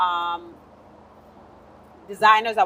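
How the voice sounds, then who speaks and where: A woman speaks with a Spanish accent. Her medium-pitched voice keeps a monotone, flat intonation. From Panama. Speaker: modeling agency founder. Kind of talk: self-introduction in panel discussion.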